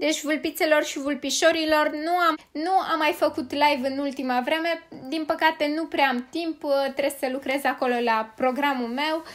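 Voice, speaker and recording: A woman with high pitch and fairly even intonation, at a moderate pace. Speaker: gaming youtuber. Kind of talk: gaming commentary.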